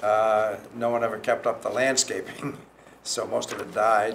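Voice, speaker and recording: A man speaks at a medium pitch. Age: 80s+. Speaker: property developer. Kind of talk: public meeting comment. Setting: town planning commission meeting.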